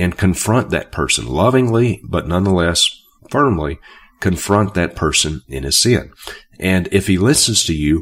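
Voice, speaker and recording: Very deep and low in pitch, a man speaks at a fairly slow pace with vocal fry and lively intonation. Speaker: Bible teacher and preacher. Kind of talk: teaching video on scripture. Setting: recorded video. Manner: halting with frequent fillers.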